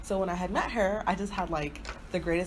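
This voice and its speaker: Animated in tone and fairly quick in pace, a woman with a fairly low pitch speaks amid audible room echo. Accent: American. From Nigerian family, grew up in US. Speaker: podcast co-host. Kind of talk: casual chat.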